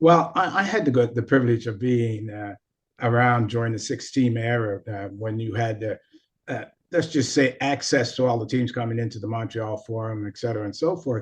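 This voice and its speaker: The man has a medium pitch and a somewhat breathy voice. He speaks at a moderate pace with ordinary pitch variation. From Nova Scotia, Canada. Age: 70s. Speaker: former hockey player, coach and sports psychologist. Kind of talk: podcast interview.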